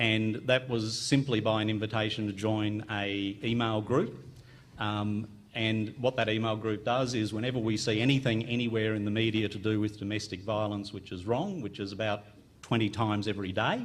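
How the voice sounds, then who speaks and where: A man with an Australian accent and a fairly low pitch speaks at a moderate pace in a monotone, flat intonation, with audible room echo. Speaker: family physician, conference panelist. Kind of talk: conference panel talk. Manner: hesitant with frequent ums.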